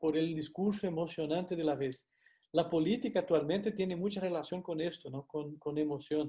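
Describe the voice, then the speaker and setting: A man with a Brazilian accent speaks at a high pitch with a dark, mellow tone. His intonation is fairly even and his pace moderate. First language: Portuguese (speaking Spanish). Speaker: university lecturer. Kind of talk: lecture. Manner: hesitant, frequent fillers and tag questions.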